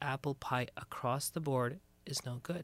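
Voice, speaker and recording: A man with an unremarkable speaking voice talks at a medium pitch with ordinary pitch variation. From Canada. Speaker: imam. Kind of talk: casual chat.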